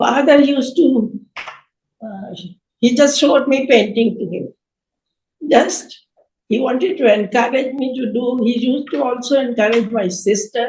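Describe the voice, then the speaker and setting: Long, frequent pauses and big swings in loudness mark a woman's high-pitched voice, which has ordinary pitch variation. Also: moderate pace. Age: 80s+. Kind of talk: interview answer.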